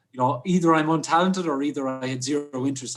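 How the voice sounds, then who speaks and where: The speaker has an Irish accent and ordinary pitch variation, with noticeable background noise behind the voice. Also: man. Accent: Irish (Clare). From Ireland, West Clare. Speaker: hotelier and mountaineer. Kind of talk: casual interview chat.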